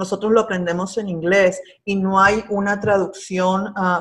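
This speaker talks at a fairly slow pace. The intonation stays monotone and flat. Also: woman. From Peru. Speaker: agricultural extension agent. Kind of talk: interview. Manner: halting.

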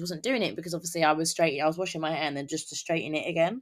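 A woman speaks with a British accent, her pitch fairly low and her intonation varying in an ordinary way. The recording is very clean, with a silent background. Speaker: podcast host. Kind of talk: casual solo podcast monologue. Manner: casual, conversational, filler words.

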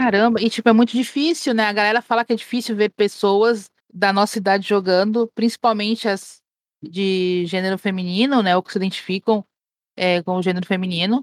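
A woman with a medium pitch talks at a fairly quick pace with ordinary pitch variation, captured in a very clean recording with a silent background and a dry, close sound free of echo. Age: 40s. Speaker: streamer. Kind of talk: casual chat.

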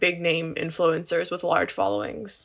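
Recorded very cleanly against a silent background, a woman talks at a fairly slow pace in a bright, sharp tone. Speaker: political science student. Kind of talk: casual chat.

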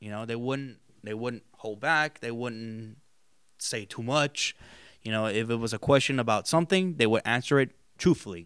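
A man with a normal speaking voice talks at a moderate pace in a medium pitch with ordinary pitch variation and big swings in loudness, in a very clean recording with a silent background and a dry, close sound with no echo. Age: 20s. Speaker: student film director. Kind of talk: casual interview chat.

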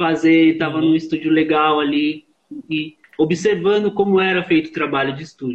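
With an ordinary speaking voice, a man talks at a moderate pace and a fairly high pitch, keeping his intonation fairly even. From Osasco, São Paulo, Brazil. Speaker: live and studio sound engineer. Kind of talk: casual interview chat. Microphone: on 4G connection.

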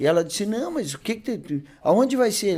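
A man's dark, mellow tone at a moderate pace, with very wide pitch swings. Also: very clean recording, silent background. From southern Brazil, Bagé (Rio Grande do Sul). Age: 50s. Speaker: radio host and car dealer, sales speaker. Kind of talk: casual chat. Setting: studio. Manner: animated.

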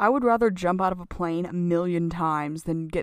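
A woman's ordinary speaking voice, fairly low in pitch, at a moderate pace with an American accent. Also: very clean recording, silent background. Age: 20s. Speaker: podcast guest. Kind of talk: casual chat.

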